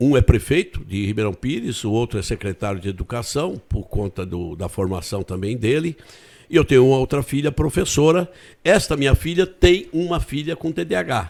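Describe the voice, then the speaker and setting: Over a silent background in a very clean recording, a man at medium pitch speaks at a moderate pace with very wide pitch swings. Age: 70s. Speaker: retired politician and teacher. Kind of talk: interview. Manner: halting, frequent repetitions.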